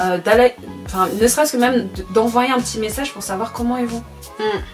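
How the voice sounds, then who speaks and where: Pitch rises and falls in an ordinary way, and the delivery is fairly quick. Background music can be heard. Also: woman, fairly high pitch for a woman. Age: 20s. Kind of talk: casual talk to camera.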